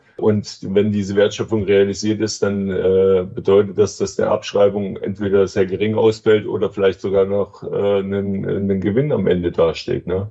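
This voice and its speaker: A man's fairly low, monotone, flat voice at a moderate pace with hardly any pauses, over noticeable background noise. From East Germany. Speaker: real estate executive. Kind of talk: interview. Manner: hesitant with fillers.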